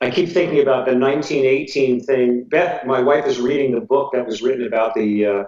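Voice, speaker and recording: In a plain, everyday voice, a man with an American accent speaks at a fairly quick pace and medium pitch, with hardly any pauses and ordinary pitch variation. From New Jersey, US. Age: 60s. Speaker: jazz drummer and teacher. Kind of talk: casual interview.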